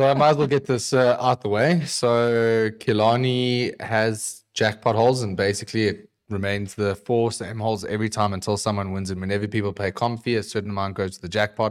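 With an unremarkable speaking voice, a man talks at a fairly quick pace with hardly any pauses, his fairly low pitch held to fairly even intonation. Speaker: golf podcast co-host. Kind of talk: casual chat.

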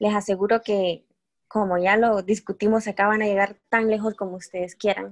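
Recorded with a dry, close sound and no echo, a plain, everyday voice moves at a moderate pace with fairly even intonation. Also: woman. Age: 20s. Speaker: entrepreneur and pharmacy student. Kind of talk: interview. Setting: remote call.

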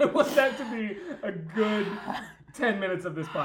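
An unforced reading voice is heard throughout the recording.

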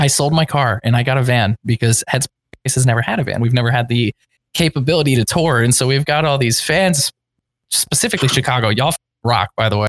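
Speaking very fast with an American accent, a man has a somewhat breathy, medium-pitched voice with ordinary pitch variation, very even loudness and a dry, close sound with no echo. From Pennsylvania, US. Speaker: band vocalist. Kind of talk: casual chat.

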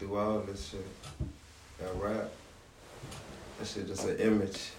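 In an American accent, a man speaks fairly slowly at a fairly low pitch, with audible room echo. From Savannah, Georgia (US South). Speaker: rapper. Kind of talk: interview.

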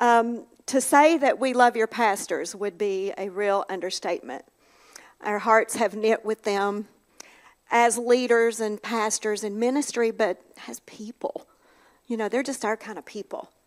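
A woman talks with an Appalachian accent at a fairly slow pace. Her pitch is fairly high, with ordinary variation. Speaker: minister's wife. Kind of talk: devotional talk. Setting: church.

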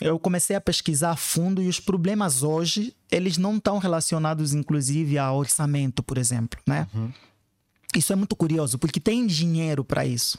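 A man's ordinary speaking voice, fairly high, with lively intonation at a moderate pace. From Africa (Angola / São Tomé and Príncipe). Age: 30s. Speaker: educational activist. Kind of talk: interview.

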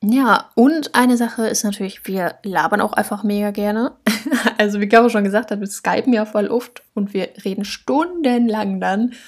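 A woman with a plain, everyday voice speaks at a moderate pace, her fairly high pitch showing ordinary variation. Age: 20s. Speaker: podcast co-host, university student. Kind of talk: casual chat.

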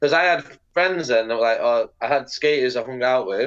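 The voice has a bright, sharp tone and a Mancunian accent, moving at a moderate pace. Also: man. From northern England, Manchester/Bolton. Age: 30s. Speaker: professional skateboarder. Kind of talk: casual chat.

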